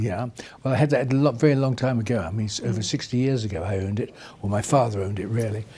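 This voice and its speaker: A man's medium-pitched voice moves very fast, its pitch shifting in a normal way. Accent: RP. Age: 80s+. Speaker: retired racing driver. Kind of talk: interview answer. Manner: casual, chatty.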